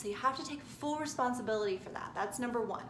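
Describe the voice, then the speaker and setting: A woman speaks in a high-pitched voice. There is noticeable background noise and audible room echo. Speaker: spiritual self-help vlogger. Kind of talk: motivational talk to camera. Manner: stuttering today; casual, frequent okay fillers.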